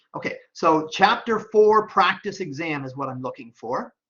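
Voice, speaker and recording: Against a quiet background, a man speaks. His pitch swings very widely. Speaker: professor; instructor. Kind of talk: tutorial. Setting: screen-share recording. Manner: fast; casual, with fillers. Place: home room. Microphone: webcam.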